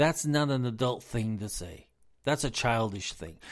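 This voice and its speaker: A man with an American accent speaks at a moderate pace with lively intonation, in a very clean recording with a silent background. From US South, South Carolina. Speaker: business advisor and podcast host. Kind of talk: impassioned solo political rant, haranguing world leaders directly like a rally speech. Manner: fiery and accusatory, hammering repetition of 'you're a fool'; emphatic, stumbling repetitions when worked up.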